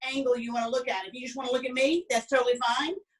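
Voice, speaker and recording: Speaking with a strong Southern US accent, a woman uses a high pitch with ordinary pitch variation. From US South (Alabama). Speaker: cooking instructor. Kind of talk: online cooking class. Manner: chatty, many fillers.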